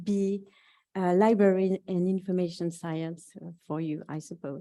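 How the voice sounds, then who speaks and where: A woman with a French accent speaks at a fairly slow pace in a dark, mellow tone with fairly even intonation. The recording is very clean, with a silent background. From France. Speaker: university researcher. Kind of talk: conference presentation.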